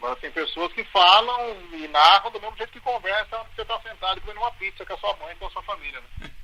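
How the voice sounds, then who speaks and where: Over noticeable background noise, a man with a high pitch projects a raised voice at a very fast pace, with lively intonation and big swings in loudness. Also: hardly any pauses. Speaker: football radio announcer. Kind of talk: interview answer. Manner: casual, conversational.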